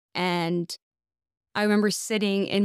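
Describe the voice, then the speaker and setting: A woman's unremarkable speaking voice at a medium pitch, with fairly even intonation, in a dry, close sound with no echo on a very clean recording with a silent background. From US South, Texas (McAllen, Rio Grande Valley). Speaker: financial advisor. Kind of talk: casual chat.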